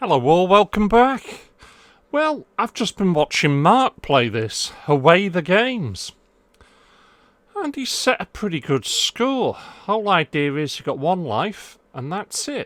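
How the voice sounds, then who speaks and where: At a very slow pace, a man with a high voice and an English accent speaks with very wide pitch swings and big swings in loudness. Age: middle-aged. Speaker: gaming YouTuber. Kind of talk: casual vlog.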